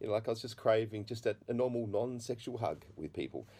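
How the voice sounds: A man's fairly low voice, dark and mellow in tone, at a fast pace. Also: lively intonation.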